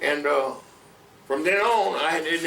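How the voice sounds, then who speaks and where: There is audible echo in the room. Noticeable background noise runs underneath. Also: man. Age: 80s+. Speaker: longtime neighborhood resident. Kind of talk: oral history interview. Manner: halting with many fillers.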